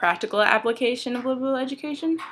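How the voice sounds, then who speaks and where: A woman speaks with a bright, sharp tone. Her pace is moderate. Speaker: college student. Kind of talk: class presentation talk to camera. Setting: home, dryer noise in background. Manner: hesitant, many fillers.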